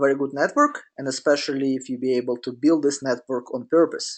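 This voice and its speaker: A man speaks at a fairly quick pace with a fairly high pitch against a quiet background. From Russia. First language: Russian. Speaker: business coach. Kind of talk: webinar presentation. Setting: online webinar. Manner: halting, many fillers.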